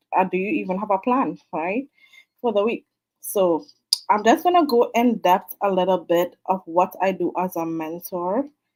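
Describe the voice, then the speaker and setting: With a Trinidadian accent, a woman speaks at a moderate pace, her medium pitch showing ordinary variation. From Trinidad and Tobago. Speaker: online business mentor. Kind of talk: live stream talk. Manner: casual, many fillers.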